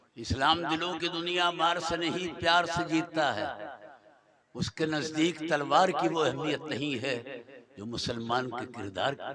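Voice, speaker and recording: Noticeable background noise behind a man with a fairly high pitch and ordinary pitch variation. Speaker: Islamic preacher. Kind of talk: religious sermon to a gathering. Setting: stage at public gathering.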